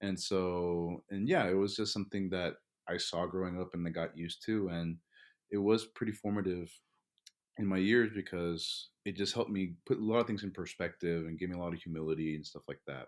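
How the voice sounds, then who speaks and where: A man with a very deep, low voice and a Spanish accent talks at a fairly quick pace on a very clean recording with a silent background. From Texas, inner city Dallas. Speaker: graduate student. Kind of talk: interview conversation.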